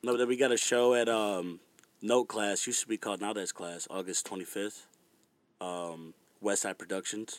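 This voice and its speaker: A man with an American accent speaks in an unremarkable speaking voice, at a moderate pace, with fairly low pitch and fairly even intonation. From Virginia. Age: 20s. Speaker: musician. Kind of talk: casual chat.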